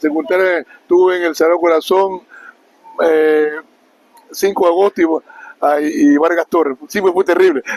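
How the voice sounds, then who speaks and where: A man with a high voice speaks at a moderate pace with long, frequent pauses, very even loudness and fairly even intonation, in a dry, close sound with no echo. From Esmeraldas, Ecuador. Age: 60s. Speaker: former amateur footballer. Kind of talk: interview.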